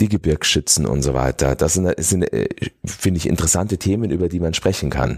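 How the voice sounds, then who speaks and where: A man's very deep, low voice with a dark, mellow tone, fairly quick pace and a dry, close sound with no echo. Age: 40s. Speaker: mayor and politician. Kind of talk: interview. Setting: studio.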